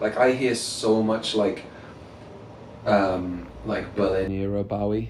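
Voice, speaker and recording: A man speaks at a very slow pace in a fairly low pitch, with fairly even intonation and long, frequent pauses. Noticeable background noise is present. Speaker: rock musician. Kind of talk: interview answer.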